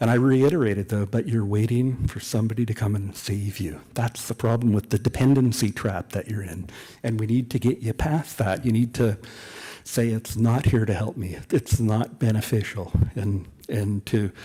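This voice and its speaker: With a Canadian accent, a man talks at a moderate pace in a dark, mellow tone that is somewhat breathy. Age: 60s. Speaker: author. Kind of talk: public talk at a book event.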